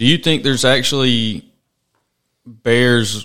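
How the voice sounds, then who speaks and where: A man with a Mississippi accent. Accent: US Southern (Mississippi). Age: 30s. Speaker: podcast host. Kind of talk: casual interview. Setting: studio.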